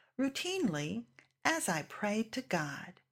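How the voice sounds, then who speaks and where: A woman's fairly high voice at a very slow pace, on a very clean recording with a silent background. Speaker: family member reading testimony. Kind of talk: reading aloud. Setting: church.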